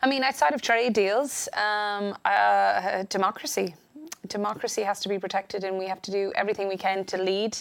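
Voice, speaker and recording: At a moderate pace, a woman with an Irish accent speaks with fairly even intonation. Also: medium pitch for a woman. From Ireland. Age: 30s. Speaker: politician. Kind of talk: interview. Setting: studio.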